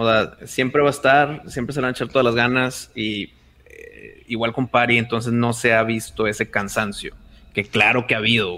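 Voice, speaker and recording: A bright, sharp tone carries fairly even intonation at a moderate pace. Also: man, medium pitch for a man. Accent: Mexican. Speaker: podcaster and video producer. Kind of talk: casual chat.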